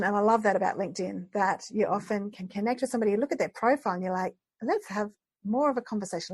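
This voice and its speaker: Somewhat breathy and very fast, this speaker talks with an Australian accent and ordinary pitch variation. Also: woman. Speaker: podcast host. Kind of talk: podcast interview.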